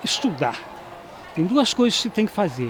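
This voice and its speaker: A man's high voice comes through over noticeable background noise. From Brazil, Juiz de Fora, Minas Gerais. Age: 70s. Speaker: former student giving testimony. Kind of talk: testimony interview. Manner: halting, repeats words.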